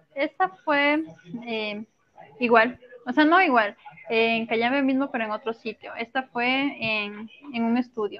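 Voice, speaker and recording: A woman speaks at a fairly slow pace with a high pitch and ordinary pitch variation. She leaves long, frequent pauses. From Ecuador, coastal Manabí province. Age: 20s. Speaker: model. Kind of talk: interview. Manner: soft-spoken.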